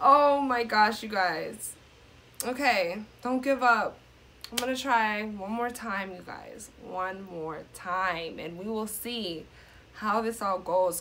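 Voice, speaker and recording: A woman talks at a very slow pace. Light background noise can be heard behind her. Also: ordinary pitch variation, big swings in loudness. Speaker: gaming vlogger. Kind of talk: casual gaming commentary and outro.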